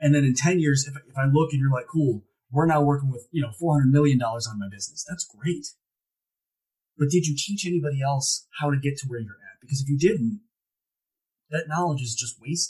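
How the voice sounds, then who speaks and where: This speaker has an American accent and a dark, mellow tone that is somewhat breathy, with ordinary pitch variation. The pace is fairly quick, and the loudness swings widely. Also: man, fairly high pitch for a man. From Ohio, US Midwest. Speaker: motivational speaker. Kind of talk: podcast interview. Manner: animated.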